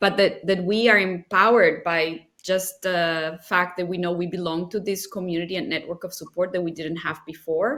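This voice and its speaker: A woman speaks with a Spanish accent at a fairly low pitch. Her moderate pace runs with hardly any pauses and fairly even intonation. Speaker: nonprofit leader. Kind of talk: interview.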